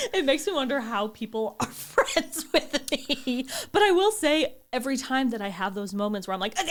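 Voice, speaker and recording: A woman's high-pitched voice at a moderate pace, with very wide pitch swings and hardly any pauses. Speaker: podcast co-host. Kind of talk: casual chat.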